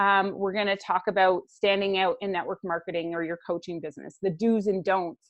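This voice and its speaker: A woman with an unremarkable speaking voice talks at a medium pitch and a moderate pace. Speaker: business coach. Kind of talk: webinar presentation. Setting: live webinar.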